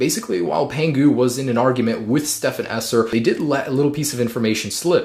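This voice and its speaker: Against noticeable background noise, a man with a medium pitch and ordinary pitch variation talks at a very fast pace with hardly any pauses. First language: Russian. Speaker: tech YouTuber. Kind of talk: tech news update video. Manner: casual.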